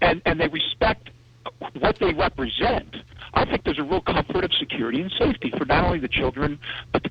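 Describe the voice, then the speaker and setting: Clear background noise accompanies speech that moves along rather quickly. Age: 40s. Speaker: caller. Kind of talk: call-in opinion on talk radio.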